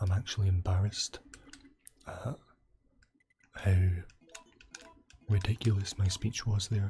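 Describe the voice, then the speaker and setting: Soft-spoken and relaxed in tone, a man with a fairly low voice talks at a fairly slow pace in a monotone, flat intonation, leaving long, frequent pauses. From Scotland. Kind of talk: gaming commentary. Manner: soft-spoken, relaxed.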